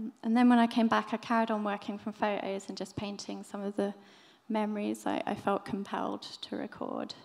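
A woman talks at a moderate pace. Her intonation is flat and monotone. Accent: southern English. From southern England, Brighton; southern England. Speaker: illustrator; speaker. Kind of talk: talk at a live event. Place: stage. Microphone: podium.

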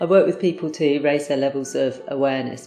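Amid audible room echo and faint background music, a woman with a very deep, low pitch speaks at a fairly quick pace. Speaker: trainer, coach. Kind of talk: promotional self-introduction. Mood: warm, smiling. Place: classroom. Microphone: lapel.

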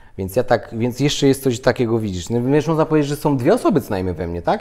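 A man talks at a fairly quick pace in a medium pitch with ordinary pitch variation. Noticeable background noise is present. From Poland. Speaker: interview guest. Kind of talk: casual interview chat. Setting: on camera.

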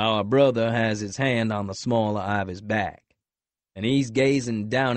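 Behind the speaker, everything is quiet. What we hear is a natural reading voice.

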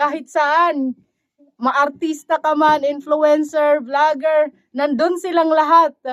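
Her pace is very slow. The woman's pitch is high. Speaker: vlogger caring for an elderly woman. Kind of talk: casual vlog talk to camera. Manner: animated, frequent laughing.

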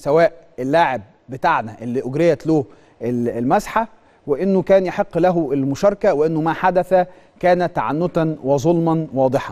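A man's fairly high voice with a dark, mellow tone, ordinary pitch variation and a fairly slow pace. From Egypt. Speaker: sports TV host. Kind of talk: studio monologue, impassioned commentary. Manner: animated, emphatic. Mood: indignant, complaining of injustice. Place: studio. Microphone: lapel.

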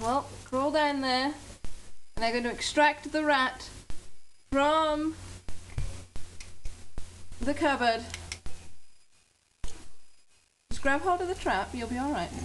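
Over light background noise, a woman with a high pitch and ordinary pitch variation talks at a very slow pace with long, frequent pauses. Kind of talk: casual home video narration and coaching. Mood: playful, amused. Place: kitchen. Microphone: phone near.

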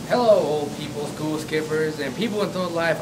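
Noticeable background noise sits under a man talking at a moderate pace, his pitch varying in an ordinary way. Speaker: mock TV show host. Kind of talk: comedy sketch host patter. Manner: showy announcer delivery. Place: street. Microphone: handheld.

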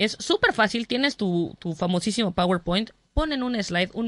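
Against a quiet background, a woman talks with lively intonation in a dry sound with no echo. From Mexico. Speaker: comedian. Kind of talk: interview. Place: studio.

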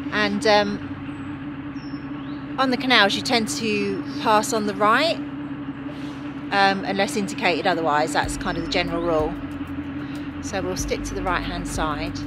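A woman at a fairly slow pace, dry sound with no echo, over loud background noise. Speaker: boater vlogger. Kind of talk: casual vlog chat. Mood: excited, a little nervous. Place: boat. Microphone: phone near.

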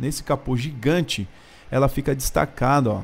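A man delivers his words at a moderate pace with ordinary pitch variation. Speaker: car reviewer. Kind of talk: car walkaround commentary. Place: garage. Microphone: phone near.

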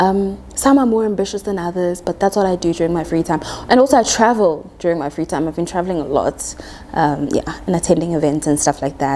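Over light background noise, a woman talks at a very fast pace with lively intonation and a fairly low pitch. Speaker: quantity surveyor, YouTuber. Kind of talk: casual talk to camera. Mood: playful, expressive. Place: home room. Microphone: lapel.

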